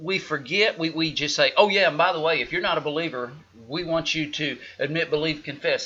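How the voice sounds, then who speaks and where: This man speaks with an Oklahoma accent. His pitch sits fairly high. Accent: Oklahoma rural. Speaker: pastor. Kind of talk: casual chat. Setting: live stream. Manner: animated.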